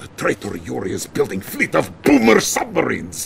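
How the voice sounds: Using a put-on character voice, a man talks at a moderate pace with medium pitch, vocal fry and very wide pitch swings.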